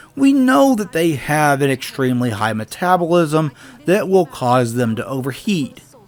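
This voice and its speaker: Lively in intonation and fairly high in pitch, a man talks at a moderate pace over noticeable background noise. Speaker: game reviewer. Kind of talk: video game review narration.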